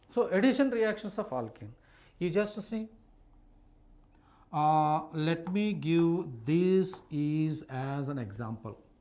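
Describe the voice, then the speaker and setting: With a high pitch, very wide pitch swings and a dark, mellow tone, a man speaks at a very slow pace with long, frequent pauses, and audible room echo fills the recording. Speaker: chemistry teacher. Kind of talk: online live class lecture. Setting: live online stream with chat.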